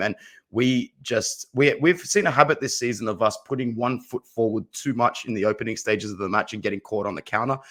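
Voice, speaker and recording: The man speaks very fast in an Australian accent. Pitch varies in an ordinary way on a very clean recording with a silent background. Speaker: football fan commentator. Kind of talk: casual chat.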